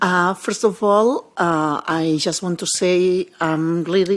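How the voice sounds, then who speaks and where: This woman has a non-native accent. Her pitch is fairly low. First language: not English. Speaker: mental health professional. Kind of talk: panel discussion. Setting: conference panel. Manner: halting, repeats words.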